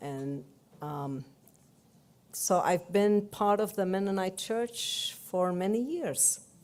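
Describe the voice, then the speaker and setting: Speaking very slowly in a Palestinian accent, a woman uses a medium pitch with very wide pitch swings. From Palestine, Jerusalem. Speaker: church delegate. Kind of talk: speech.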